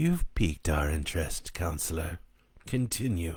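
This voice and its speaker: Using a put-on character voice that is very deep and low, a man talks at a moderate pace in a very clean recording with a silent background. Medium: read story. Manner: formal, solemn.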